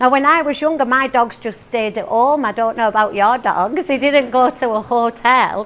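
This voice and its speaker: At a moderate pace with hardly any pauses, a woman speaks at a high pitch with ordinary pitch variation over noticeable background noise. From northeast England. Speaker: teacher and motivational speaker. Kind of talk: talk to a live audience. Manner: animated.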